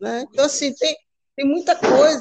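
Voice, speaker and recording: A woman with a high voice speaks in lively intonation. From Rio de Janeiro. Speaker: podcast host. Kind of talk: casual chat.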